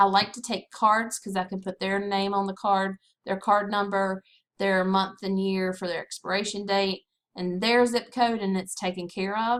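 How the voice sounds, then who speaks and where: Speaking with a Southern US accent, a woman with a medium pitch talks at a moderate pace in a flat monotone. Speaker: direct sales consultant. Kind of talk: screen-recorded tutorial.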